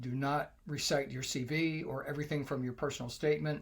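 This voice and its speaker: His voice carries a somewhat breathy quality. This man moves at a fairly quick pace. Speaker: English test coach for medical graduates. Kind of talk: tutorial.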